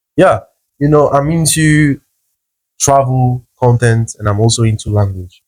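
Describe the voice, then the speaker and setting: A man speaks in a somewhat breathy voice at medium pitch, with ordinary pitch variation. Long, frequent pauses break up his speech. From South America, Brazil border city near Paraguay and Argentina. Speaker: travel content creator and language teacher. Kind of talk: interview.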